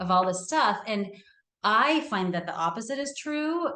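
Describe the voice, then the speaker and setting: A woman with an American accent and a plain, everyday voice, with lively intonation at a moderate pace. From California. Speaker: therapist. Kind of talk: casual interview chat.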